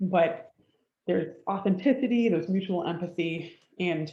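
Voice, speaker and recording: Somewhat breathy and dark, mellow in tone, a woman speaks at a fairly low pitch with ordinary pitch variation. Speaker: doctoral student presenter. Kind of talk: webinar presentation.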